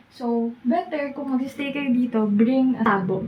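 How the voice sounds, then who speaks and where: Quiet and very slow, a woman speaks at a fairly high pitch with ordinary pitch variation. Noticeable background noise sits behind her. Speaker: travel vlogger. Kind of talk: vlog room tour. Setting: hotel room. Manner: quiet, lowered voice.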